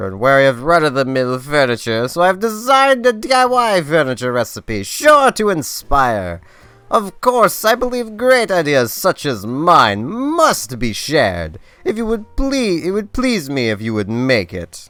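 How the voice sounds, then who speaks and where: Music plays in the background as a put-on character voice swings very widely in pitch at a moderate pace. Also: man, fairly high pitch for a man. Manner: pompous, theatrical.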